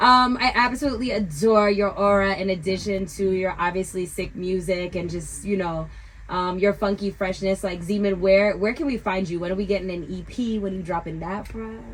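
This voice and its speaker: A woman speaks with a New York accent at medium pitch. She talks at a fairly quick pace with hardly any pauses. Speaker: radio host. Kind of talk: radio interview. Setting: radio studio. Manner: animated.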